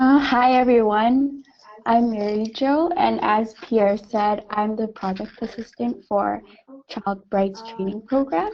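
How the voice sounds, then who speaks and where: A woman with an ordinary speaking voice talks at a fairly slow pace and fairly high pitch, with ordinary pitch variation and big swings in loudness. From Canada, Vancouver. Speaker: project assistant and university student. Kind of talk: self-introduction in webinar. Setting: online webinar.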